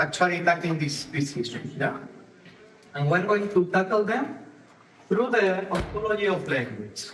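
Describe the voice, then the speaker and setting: Room echo is audible as a man with a Spanish accent speaks at a fairly slow pace in a high voice with lively intonation. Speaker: ontological coach, conference speaker. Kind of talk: conference talk. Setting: stage with audience.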